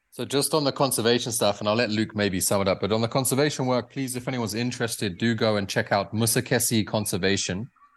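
Against a quiet background, a man with a British accent speaks at a very fast pace with hardly any pauses and ordinary pitch variation. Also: medium pitch for a man. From UK. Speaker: safari camp owner. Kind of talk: interview.

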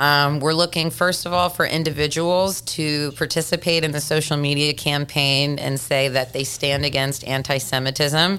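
The tone is bright and sharp, with fairly even intonation. Delivery runs at a moderate pace with hardly any pauses. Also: woman, very deep, low pitch for a woman. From Tennessee. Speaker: children's author and motivational speaker. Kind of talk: interview.

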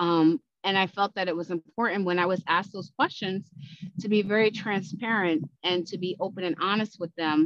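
A woman with an American accent and a normal speaking voice, medium pitch, fairly even intonation, at a moderate pace. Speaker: podcast host. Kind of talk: casual chat.

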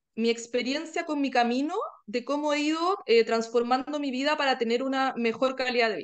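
With ordinary pitch variation, a woman speaks at a moderate pace in a high pitch. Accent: Chilean. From Chile. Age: 40s. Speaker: wellbeing podcaster, workshop participant. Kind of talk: interview conversation.

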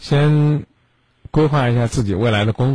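He speaks somewhat breathily. This man has a medium pitch. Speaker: late-night radio call-in host. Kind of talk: radio call-in advice show. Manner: blunt, direct.

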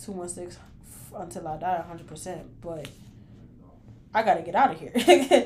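With an American accent, the speaker uses lively intonation and big swings in loudness at a moderate pace, leaving long, frequent pauses over noticeable background noise. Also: woman, fairly low pitch for a woman. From Cleveland, Ohio. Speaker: podcast host and artist manager. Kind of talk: casual monologue rant. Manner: emphatic, animated.

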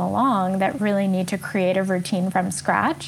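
Moderate pace and fairly even intonation from a woman of medium pitch with a New York accent. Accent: New York American. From New York City, US. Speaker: coach and author. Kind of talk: casual interview conversation.

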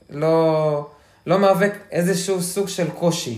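Audible room echo surrounds speech that moves at a fairly slow pace. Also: man. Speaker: hiker sharing trail experience. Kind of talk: casual interview chat.

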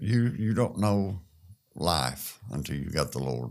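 Intonation runs lively as a man talks in a Southern US accent. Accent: US South. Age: 60s. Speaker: construction worker. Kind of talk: testimony.

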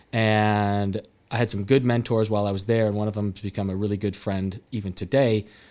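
Speaking at a fairly quick pace, a man with a West Coast American accent keeps a fairly low pitch and a flat, monotone intonation. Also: very clean recording, silent background. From California, Salinas. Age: 30s. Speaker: real estate entrepreneur. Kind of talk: casual chat. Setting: studio.

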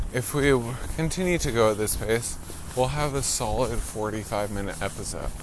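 Noticeable background noise runs under the recording. A man talks at a moderate pace with a medium pitch. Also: ordinary pitch variation. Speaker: podcast co-host. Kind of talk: casual chat, joking. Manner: joking, playful.

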